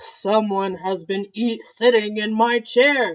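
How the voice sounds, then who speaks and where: The speaker uses a put-on character voice pitched fairly high. The pace is fairly slow. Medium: read story.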